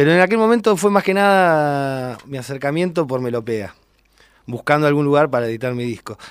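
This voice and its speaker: A man with an ordinary speaking voice, fairly high-pitched, lively in intonation, at a fairly quick pace. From Argentina, General Roca, Río Negro. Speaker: bass player. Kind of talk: radio interview.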